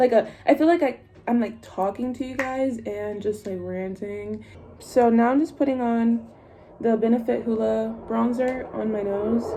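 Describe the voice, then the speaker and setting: Ordinary in pitch variation and fairly high, a woman's voice moves at a moderate pace over noticeable background noise. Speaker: beauty vlogger. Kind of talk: casual makeup tutorial chat. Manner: rambling, casual.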